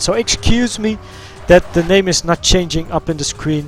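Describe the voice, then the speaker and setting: Ordinary pitch variation with a Dutch accent, music playing in the background. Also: man. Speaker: gaming streamer. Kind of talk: live game stream commentary.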